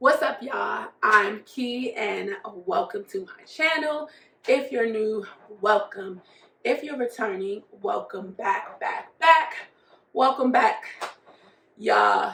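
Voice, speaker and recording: In a put-on character voice that is hoarse and raspy, the speaker goes at a fairly slow pace with long, frequent pauses. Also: woman, high pitch for a woman. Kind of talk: casual, friendly vlogger.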